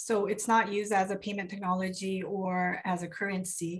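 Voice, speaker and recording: A woman speaks at a moderate pace with a medium pitch and a somewhat breathy quality. The background is quiet. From South Korea. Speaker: consumer advocate and lawyer; lawyer. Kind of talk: panel discussion. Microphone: video call.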